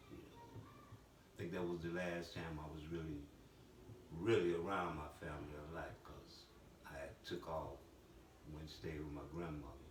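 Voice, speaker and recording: Somewhat breathy delivery at a moderate pace, with fairly even intonation, long, frequent pauses and audible room echo. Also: man, very deep, low pitch for a man. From Chicago, US. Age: 70s. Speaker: former gang elder. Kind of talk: interview.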